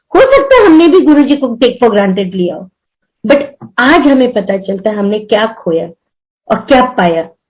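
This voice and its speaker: A woman's high voice with very wide pitch swings. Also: moderate pace. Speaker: devotee sharing experiences. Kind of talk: spiritual testimony. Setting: video call.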